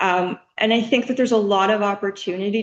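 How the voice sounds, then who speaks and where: A woman talks at a moderate pace with a medium pitch. It is a normal speaking voice. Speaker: student presenting a final project. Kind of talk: project presentation. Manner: frequent filler words (um).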